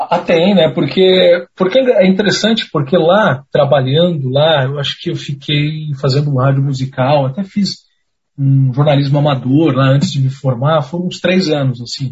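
A man talks at a moderate pace in a fairly high pitch, his voice somewhat breathy. His pitch varies in an ordinary way. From Pinhais, Paraná, Brazil. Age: 20s. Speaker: radio journalist. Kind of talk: casual chat.

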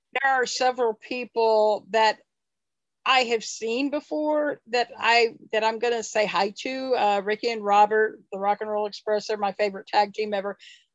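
Her voice is an unremarkable speaking voice, a woman's at fairly high pitch, with fairly even intonation. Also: moderate pace. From Kansas. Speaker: wrestling superfan. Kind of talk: casual interview. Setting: video call.

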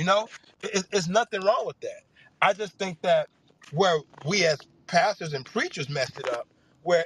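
Dry and close with no echo, a man with a Memphis accent speaks at a moderate pace. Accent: US Southern (Memphis). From Memphis, Tennessee. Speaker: pastor. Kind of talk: panel discussion.

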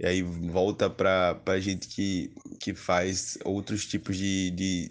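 A man speaks in a very deep, low voice with flat, monotone intonation against a quiet background. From Alagoas, Brazil. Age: 20s. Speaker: poet and author. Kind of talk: interview.

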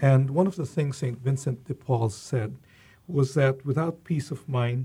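Somewhat breathy, with a dark, mellow tone, a man speaks at medium pitch and a fairly slow pace. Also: very clean recording, silent background. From Philippines. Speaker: university president. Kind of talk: interview.

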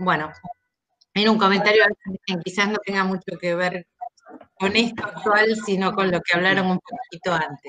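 A woman with an Argentine accent, fairly even intonation and long, frequent pauses, in a dry, close sound with no echo. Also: medium pitch for a woman, moderate pace. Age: 60s. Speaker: participant. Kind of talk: casual discussion. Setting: video call.

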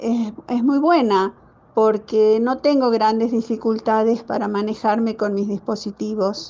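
A woman talks very slowly, her fairly high pitch carrying a dark, mellow tone. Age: 70s. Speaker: older technology user. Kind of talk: testimony.

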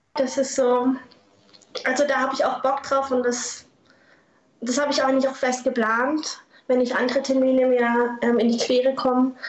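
A woman speaks at a high pitch with monotone, flat intonation and very even loudness. Long pauses come often. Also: moderate pace. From southern Baden, Germany (Lörrach). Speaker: former paintball player and artist. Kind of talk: interview.

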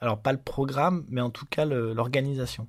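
Fairly slow speech from a man, recorded very cleanly against a silent background. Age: 30s. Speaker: photojournalist. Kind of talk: interview. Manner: halting, many hesitations.

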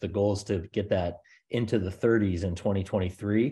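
A man with an American accent speaks in a fairly low pitch with a dark, mellow tone. His pace is moderate against a quiet background. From US South, Charleston, South Carolina. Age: 40s. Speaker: real estate investor. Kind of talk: interview.

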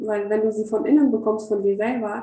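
At a moderate speed, a woman talks in a fairly high voice. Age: 30s. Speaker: educator and spirituality coach. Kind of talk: casual interview. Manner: halting, many filler sounds.

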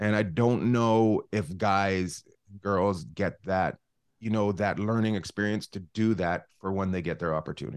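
Fairly low in pitch, a man speaks with a western Canadian accent and fairly even intonation. The background is quiet. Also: fairly slow pace. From Canada, northern British Columbia. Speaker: comedian. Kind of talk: casual chat. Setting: video call.

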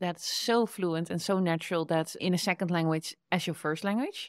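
A woman with a Dutch accent speaks at a medium pitch with ordinary pitch variation, in a very clean recording with a silent background and a dry, close sound with no echo. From Netherlands. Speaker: podcast host and entrepreneur. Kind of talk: casual interview. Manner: animated, laughs often.

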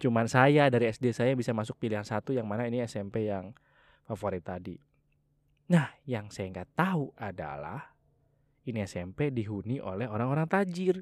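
A man with an unremarkable speaking voice talks at a moderate pace and medium pitch with lively intonation. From Java, Indonesia. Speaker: podcast host. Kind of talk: casual monologue.

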